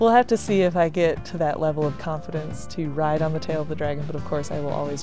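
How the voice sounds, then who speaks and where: Over clear background music, a woman with a very deep, low pitch talks very fast with hardly any pauses. Her pitch variation is ordinary, and the sound is dry with no echo. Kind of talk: casual vlog chat. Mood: cheerful, laughing often. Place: street. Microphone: phone near.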